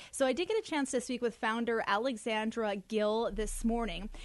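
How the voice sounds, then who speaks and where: A woman speaks at a moderate pace in a plain, everyday voice. Her pitch is fairly high, and the background is quiet. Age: 20s. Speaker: radio news reporter. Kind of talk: radio news segment.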